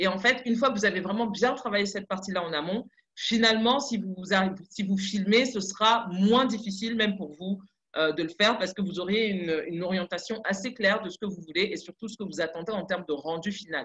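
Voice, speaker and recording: Fairly quick in pace, a woman speaks at a medium pitch with ordinary pitch variation. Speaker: content producer giving advice. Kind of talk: webinar presentation. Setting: online webinar. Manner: fast.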